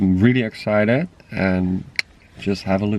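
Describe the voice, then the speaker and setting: A man speaks with a Dutch accent at a moderate pace. His pitch is fairly low. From Netherlands. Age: 20s. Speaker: travel vlogger. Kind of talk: vlog narration.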